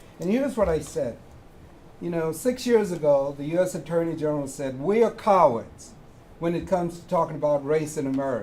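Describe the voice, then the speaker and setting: Over noticeable background noise, the voice moves at a fairly quick pace with lively intonation and big swings in loudness. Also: man, fairly high pitch for a man. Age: 80s+. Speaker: audience member, community project founder. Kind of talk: audience question at public forum.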